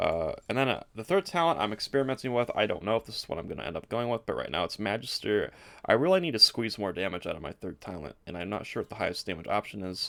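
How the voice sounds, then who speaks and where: Talking at a very fast pace with hardly any pauses, a man with fairly low pitch and vocal fry makes very wide pitch swings in a bright, sharp tone. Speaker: gaming YouTuber. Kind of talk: game build tutorial.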